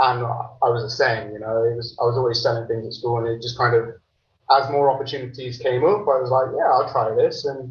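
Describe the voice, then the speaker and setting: A man speaks fairly quickly with an English accent, his medium-pitched voice somewhat breathy and his intonation fairly even. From England, Lincolnshire (Grantham). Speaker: entrepreneur, managing director. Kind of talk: podcast interview. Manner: hesitant, many fillers and repeats.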